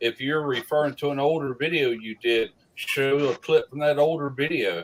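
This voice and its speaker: A man speaks with a Southern US accent, his pitch fairly high. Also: ordinary pitch variation. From US South. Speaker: barbecue YouTuber. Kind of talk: casual chat. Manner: slow.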